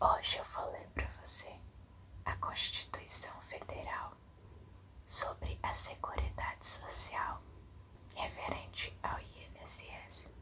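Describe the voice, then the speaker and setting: Very slow whispering amid noticeable background noise. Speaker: ASMR creator. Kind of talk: ASMR reading aloud. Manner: whispered.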